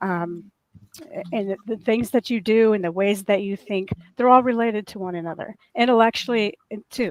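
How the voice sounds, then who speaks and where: In a dry, close recording with no echo, a woman with a fairly high pitch talks at a moderate pace, using ordinary pitch variation and big swings in loudness. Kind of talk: casual chat.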